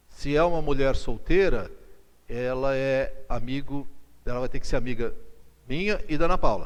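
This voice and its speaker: With audible room echo around him, a man talks in an animated tone, leaving long, frequent pauses. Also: moderate pace. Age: 60s. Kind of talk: lecture. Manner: conversational, animated.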